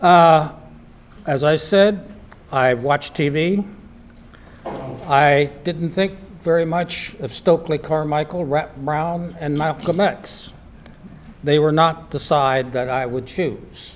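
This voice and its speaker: A man speaks at a very slow pace, leaving long, frequent pauses, with noticeable background noise behind him. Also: fairly high pitch for a man, ordinary pitch variation. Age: 80s+. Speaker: community panelist recalling civil rights era. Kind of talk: panel discussion testimony.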